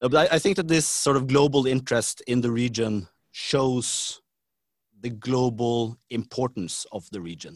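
A man speaks at a medium pitch with a Norwegian accent. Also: ordinary pitch variation, moderate pace. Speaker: government official. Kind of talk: interview. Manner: halting.

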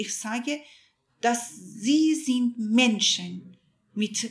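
A woman speaks with a Persian accent at a fairly high pitch. Her intonation is lively. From Iran. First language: Persian (speaking German). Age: 50s. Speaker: journalist. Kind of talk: interview testimony.

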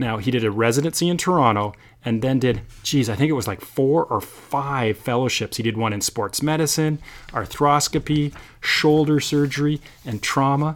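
On a very clean recording with a silent background, a man talks at a moderate pace in an unremarkable speaking voice. His fairly high pitch shows ordinary variation. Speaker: podcast host. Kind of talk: scripted intro then casual interview chat. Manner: jokey, banter.

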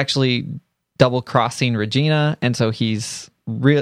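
Over a quiet background, a man uses an ordinary speaking voice at a moderate pace, with a medium pitch and ordinary pitch variation. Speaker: podcast co-host. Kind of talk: casual chat.

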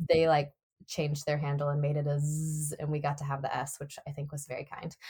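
At a moderate pace, a woman talks in a very deep, low voice that is somewhat breathy. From Nashville, Tennessee. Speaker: Broadway actor. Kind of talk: casual interview.

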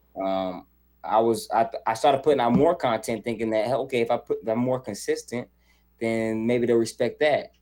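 In an American accent, a man speaks at medium pitch and a moderate pace. His intonation is fairly even, and music plays in the background. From US South, Charlotte, North Carolina. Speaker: content creator and video editor. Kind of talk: casual interview chat.

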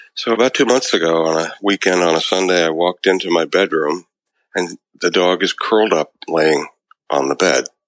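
The sound is dry and close, with no echo and very even loudness. Speech moves at a moderate pace with ordinary pitch variation. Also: man, very deep, low pitch for a man. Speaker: podcast co-host. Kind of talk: casual chat.

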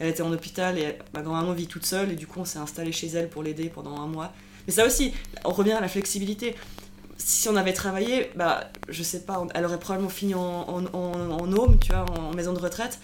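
A woman in a normal speaking voice, fairly quick, fairly low in pitch, with fairly even intonation. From Switzerland, Lausanne region (Vaud). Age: 30s. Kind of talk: casual interview. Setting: recorded over a few beers.

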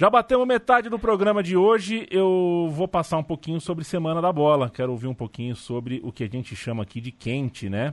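Against a quiet background, the speaker talks at a fairly quick pace with hardly any pauses and very wide pitch swings, in a dry, close sound with no echo. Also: man, fairly high pitch for a man. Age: 30s. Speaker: sports podcast host. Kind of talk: casual chat.

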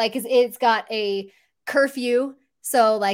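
This is a plain, everyday voice with fairly even intonation. The recording is very clean and the background is silent. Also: woman. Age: 40s. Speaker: family tech channel host, IT professional. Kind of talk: casual interview chat.

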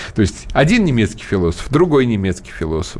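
Here a man talks at a fairly quick pace in a normal speaking voice. His pitch sits in the medium range. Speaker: political commentator and radio host. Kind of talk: radio talk show discussion. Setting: radio studio. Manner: fluent, talkative, opinionated.

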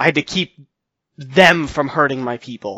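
A man uses a put-on character voice, growling and strained. His pitch sits fairly high. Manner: tense, restrained.

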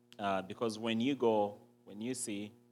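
Music plays behind a man with a Ugandan accent and a fairly low pitch. He talks at a moderate pace with ordinary pitch variation. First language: Ugandan language. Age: young. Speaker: entrepreneur and impact investor. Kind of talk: interview on stage. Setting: church. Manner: hesitant with fillers.

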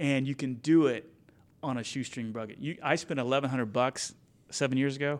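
In a very clean recording with a silent background, a man with an American accent speaks in a plain, everyday voice at a medium pitch, his intonation fairly even. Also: fairly quick pace. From Kansas, Wichita. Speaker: commercial pilot, Marine veteran and business podcaster. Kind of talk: interview conversation.

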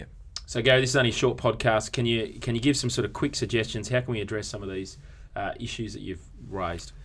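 Speaking very fast with an Australian accent, a man uses a medium pitch, ordinary pitch variation, and vocal fry. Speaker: podcast host and church consultant. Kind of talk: casual conversational podcast discussion.

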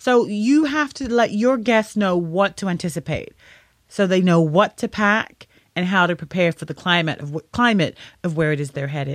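With a British accent, a woman talks at a moderate pace and with lively intonation. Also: medium pitch for a woman, very clean recording, silent background. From United Kingdom, London. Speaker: podcast host, wedding planning advisor. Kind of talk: solo tutorial podcast.

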